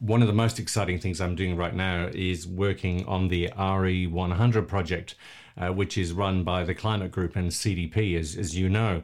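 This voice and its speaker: With an Australian accent, a man speaks at a fairly slow pace in a very deep, low pitch with fairly even intonation. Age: 50s. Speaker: environmental campaigner and charity founder. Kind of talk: casual interview.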